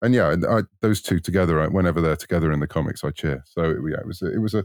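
A man with a British accent talks at a very fast pace and a very deep, low pitch, with ordinary pitch variation and a dry, close sound with no echo. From United Kingdom. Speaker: author. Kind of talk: casual interview.

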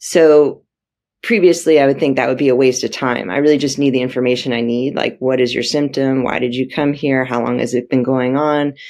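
Speaking fairly quickly with a Californian accent, a woman keeps a fairly even intonation at a very deep, low pitch. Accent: General American (Californian). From US, San Francisco Bay Area. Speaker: emergency room doctor. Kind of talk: interview.

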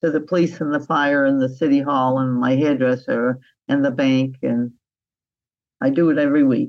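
The voice stays monotone and flat at a moderate pace. Its loudness is very even, and the background is quiet. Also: woman, very deep, low pitch for a woman. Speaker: interviewee. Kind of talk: interview.

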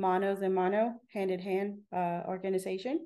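A woman with a Spanish accent speaks fairly slowly in a dark, mellow, medium-pitched voice with monotone, flat intonation. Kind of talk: casual interview chat.

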